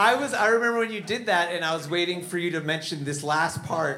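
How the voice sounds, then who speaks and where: A man talks with lively intonation at a moderate pace. Noticeable background noise is present. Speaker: stand-up comedian. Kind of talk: comedy show with banter.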